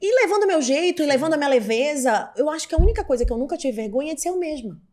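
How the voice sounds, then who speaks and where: With noticeable background noise behind her, a woman speaks very fast at a high pitch with very wide pitch swings. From Pará, northern Brazil (Belém). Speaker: TV journalist and presenter. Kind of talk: podcast interview. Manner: outspoken, assertive.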